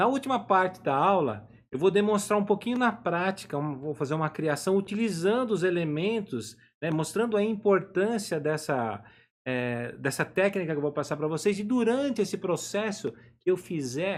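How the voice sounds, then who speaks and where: A high-pitched male voice with very wide pitch swings. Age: 50s. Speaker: drawing teacher. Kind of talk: live online lesson. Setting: home office, live stream.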